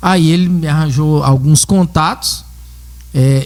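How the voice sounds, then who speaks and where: Somewhat breathy and dark, mellow in tone, a man's voice keeps a fairly even intonation. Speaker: dentist. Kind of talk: casual chat.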